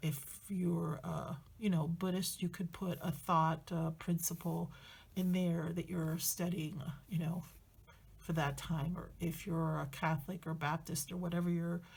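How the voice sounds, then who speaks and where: At a fairly slow pace, a woman speaks in a somewhat breathy, fairly low voice with flat, monotone intonation. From Spanish-speaking country, moved to the US. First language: Spanish. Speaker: journaling YouTuber. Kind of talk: casual tutorial chat. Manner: hesitant, many fillers.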